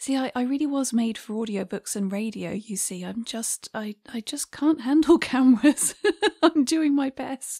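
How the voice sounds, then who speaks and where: With a dark, mellow tone and a high voice, a woman speaks at a moderate pace with ordinary pitch variation and big swings in loudness, the sound dry and close with no echo on a very clean recording with a silent background. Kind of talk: personal talk to camera.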